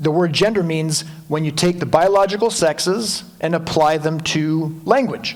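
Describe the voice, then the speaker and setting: Audible room echo surrounds a man whose fairly high voice moves with ordinary pitch variation. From Quebec. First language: French. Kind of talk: lecture.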